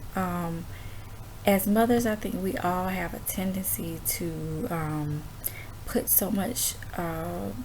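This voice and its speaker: A woman whispers quietly at a very slow pace, leaving long, frequent pauses, with audible echo in the room. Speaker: homeschooling mom vlogger. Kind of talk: casual chat. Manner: quiet, near whisper; halting, many fillers.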